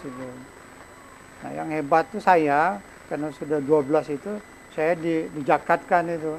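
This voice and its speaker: Against noticeable background noise, a man talks at a fairly slow pace and a fairly high pitch with fairly even intonation. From Sumatra, Indonesia (Lampung, Bengkulu, Jambi). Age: old. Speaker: cultural figure. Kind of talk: interview.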